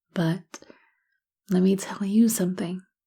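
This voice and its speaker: Fairly slow speech with a dark, mellow, warm tone and fairly even intonation, on a very clean recording with a silent background. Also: woman. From South Africa. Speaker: voice actor. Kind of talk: ASMR motivational encouragement audio. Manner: soft-spoken, warm, reassuring.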